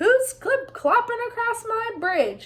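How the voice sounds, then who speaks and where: A squeaky, bellowing put-on character voice from a woman, extremely high in pitch, at a fairly slow pace. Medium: read story. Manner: roaring, menacing.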